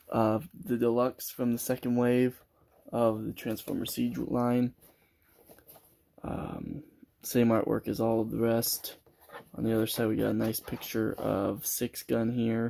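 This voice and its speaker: A man speaks at a fairly slow pace in a monotone, flat intonation. Long, frequent pauses break up his speech. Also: medium pitch for a man. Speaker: toy reviewer. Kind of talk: product review. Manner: casual with filler words.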